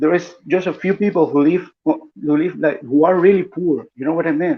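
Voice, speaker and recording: A man's high-pitched voice with a Spanish accent, at a moderate pace, with ordinary pitch variation. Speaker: political commentator. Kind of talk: live stream panel discussion. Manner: halting, repeats words.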